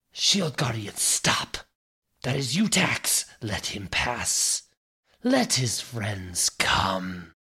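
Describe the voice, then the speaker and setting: Using a put-on character voice, a man speaks at medium pitch. The pace is very slow. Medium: actual play. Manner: imperious, commanding.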